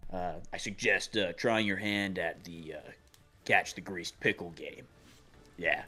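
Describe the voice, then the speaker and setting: With music in the background, a man puts on a raspy character voice at a fairly low pitch, speaking at a moderate pace with big swings in loudness and long, frequent pauses. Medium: actual play. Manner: rambling, casual.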